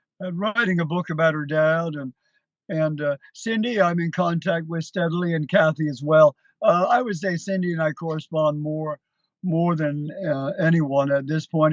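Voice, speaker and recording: A man speaks at a moderate pace in an unremarkable speaking voice. His pitch is fairly high and his intonation fairly even. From Canada, Hamilton, Ontario. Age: 60s. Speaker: country musician, tribute performer. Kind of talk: interview. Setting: TV studio.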